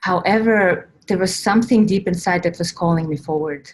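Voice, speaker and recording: A woman speaks in a somewhat breathy voice with an Estonian accent. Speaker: spiritual coach and workshop leader. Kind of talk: online workshop talk. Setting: online workshop recording.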